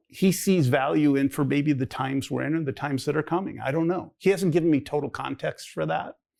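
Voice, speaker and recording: In a very clean recording with a silent background, a man with an American accent speaks at a fairly quick pace in a fairly high voice, with vocal fry and ordinary pitch variation. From Minnesota, US Midwest. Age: 60s. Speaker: pastor. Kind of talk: testimony. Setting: one-on-one sit-down conversation. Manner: halting, repetitive.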